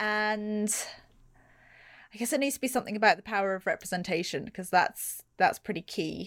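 In a posh British accent, a woman speaks with ordinary pitch variation. The recording is very clean, with a silent background. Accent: English accent, posh-sounding British English. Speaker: podcast guest, feminist illustrator.

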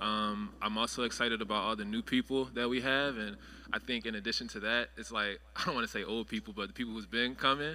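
Bright and sharp in tone with vocal fry, a man with an American accent talks at a very fast pace, medium pitch and ordinary pitch variation. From Philadelphia, US. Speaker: church member, tech recruiter. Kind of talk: church panel discussion.

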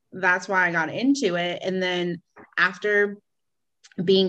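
A woman with an American accent and a fairly low pitch speaks at a fairly slow pace in an unremarkable speaking voice against a quiet background. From central Pennsylvania, near Harrisburg. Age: 20s. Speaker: real estate agent. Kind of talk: interview.

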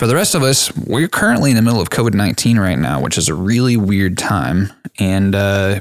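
A man with an American accent speaks in a normal speaking voice at a fairly low pitch. His pace is fairly quick and his loudness very even. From Texas, Dallas area. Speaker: podcast host. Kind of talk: scripted outro; casual chat.

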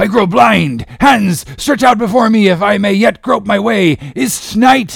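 A man does a put-on character voice at a high pitch with vocal fry. He speaks at a fairly slow pace with ordinary pitch variation.

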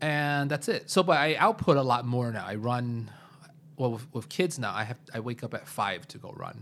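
This man has an ordinary speaking voice with an American accent and a medium pitch. He keeps a moderate pace and ordinary pitch variation. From US Midwest, Chicago. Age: 30s. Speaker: computer science teacher. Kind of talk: casual chat. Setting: living room.

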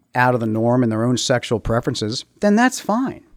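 At a moderate pace, a man with an American accent speaks at a medium pitch, swinging very widely in pitch. The recording is very clean, with a silent background. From Maryland, US. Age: 50s. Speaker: school board candidate. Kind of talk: interview.

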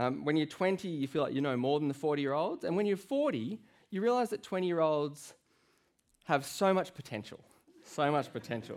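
A man with a plain, everyday voice talks at a fairly quick pace, his fairly high pitch moving in lively intonation. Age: 30s. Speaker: guest preacher. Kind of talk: sermon. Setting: church.

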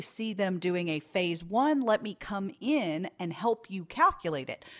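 In a very clean recording with a silent background, a woman of medium pitch speaks with very wide pitch swings. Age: 30s. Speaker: business consultant. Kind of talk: interview.

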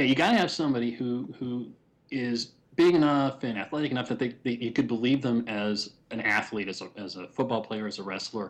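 A man at a medium pitch speaks at a fairly quick pace in a plain, everyday voice with ordinary pitch variation, over a quiet background. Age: 30s. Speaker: comic book writer. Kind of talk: casual chat.

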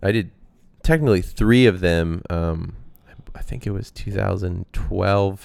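A man with an American accent at a moderate pace. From Texas, Austin. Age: 20s. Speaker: bicycle racer. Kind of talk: casual interview. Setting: at his home.

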